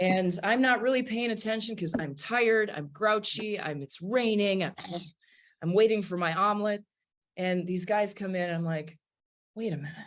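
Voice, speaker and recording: A woman with a northern US accent speaks in an animated tone at a moderate pace. Her voice sits at a medium pitch with ordinary pitch variation. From US Midwest, Wisconsin. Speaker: jazz singer and pianist. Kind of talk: casual interview storytelling.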